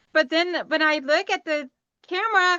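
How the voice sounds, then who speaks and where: A woman speaks in a raised, projected voice at a fairly slow pace, her high pitch carrying a bright, sharp tone in a dry, close sound with no echo. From Tennessee, US South. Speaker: sewing YouTuber. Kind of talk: casual chat.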